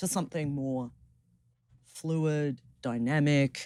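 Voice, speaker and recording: A woman with an Australian accent, a dark, mellow tone and ordinary pitch variation. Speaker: philosophy professor. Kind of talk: academic interview. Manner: hesitant fillers.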